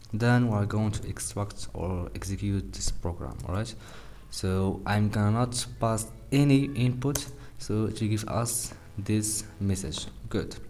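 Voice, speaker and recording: A man speaks at a fairly slow pace and fairly low pitch with ordinary pitch variation, amid audible room echo and noticeable background noise. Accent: non-native. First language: not English. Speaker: programming tutorial youtuber. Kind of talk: coding tutorial. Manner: halting, many fillers; casual.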